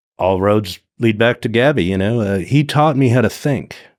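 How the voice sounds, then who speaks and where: Speaking at a fairly slow pace with lively intonation, a man with a medium pitch has an ordinary speaking voice, captured in a very clean recording with a silent background. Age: 60s. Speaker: wreck diver and explorer. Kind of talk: casual chat.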